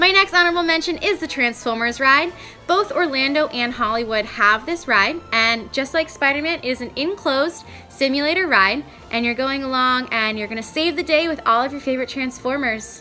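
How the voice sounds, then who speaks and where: Over background music, a woman projects her high, raised voice with lively intonation at a fairly quick pace. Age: 20s. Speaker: vlogger. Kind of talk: casual vlog. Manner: animated.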